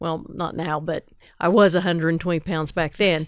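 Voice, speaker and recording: In a normal speaking voice with an American accent, the speaker talks at a moderate pace with ordinary pitch variation on a very clean recording with a silent background. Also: woman. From southern Ohio (Ironton). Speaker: fire chief and nurse. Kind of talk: interview. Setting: studio.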